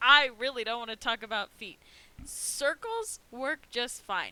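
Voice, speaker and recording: Talking at a fairly slow pace, a woman with an American accent has a high pitch and a bright, sharp tone. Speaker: art teacher. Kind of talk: live art class tutorial. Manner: casual, chatty.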